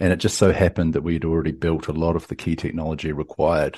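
A man with a New Zealand accent, a very deep, low pitch, vocal fry and a dark, mellow tone, talking at a very fast pace against a quiet background. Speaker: tech company CEO. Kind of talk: interview. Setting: remote call.

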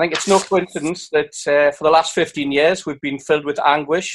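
The speaker uses a normal speaking voice. Delivery is fairly quick, with fairly even intonation. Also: man. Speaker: football fan representative. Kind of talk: reading a prepared statement. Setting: video call.

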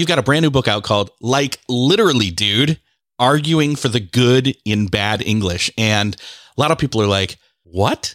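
Speaking in a normal speaking voice at a medium pitch, a man uses lively intonation at a moderate pace with very even loudness, recorded very cleanly against a silent background with a dry, close sound and no echo. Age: 40s. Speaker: podcast host. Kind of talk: casual interview.

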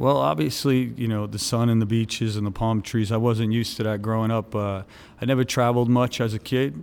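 On a very clean recording with a silent background, a man at a medium pitch talks at a fairly quick pace with ordinary pitch variation. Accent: New York. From New York City (Brooklyn, Staten Island). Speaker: nightclub entrepreneur. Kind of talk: interview. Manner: halting.

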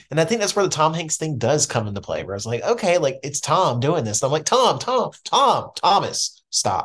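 The speech shows vocal fry and very wide pitch swings, running at a moderate pace with hardly any pauses. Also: man, fairly high pitch for a man. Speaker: film podcast guest. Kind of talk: casual chat.

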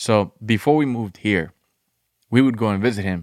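A man with a Colombian accent, fairly low-pitched with ordinary pitch variation, in a dry, close sound with no echo on a very clean recording with a silent background. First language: Spanish. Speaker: former addict in recovery. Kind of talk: casual chat.

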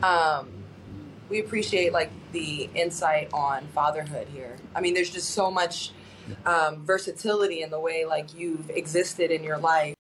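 Moderate pace and fairly even intonation, with noticeable background noise. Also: woman, fairly low pitch for a woman. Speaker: sports broadcaster co-host. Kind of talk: casual chat.

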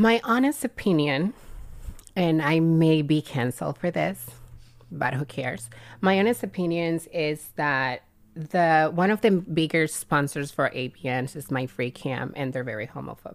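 A woman with a strong Cuban accent speaks at a very deep, low pitch with lively intonation. The recording is very clean, with a silent background. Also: moderate pace. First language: Spanish. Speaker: adult film performer. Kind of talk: casual podcast interview. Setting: studio with microphones.

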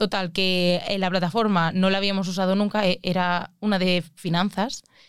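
A woman's voice of medium pitch. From Spain, Alicante. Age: 20s. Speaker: mathematician. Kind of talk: casual chat.

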